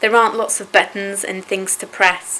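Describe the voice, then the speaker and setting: Over noticeable background noise, a woman speaks at a medium pitch in a monotone, flat way. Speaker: sight-loss charity staff member. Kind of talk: interview answer.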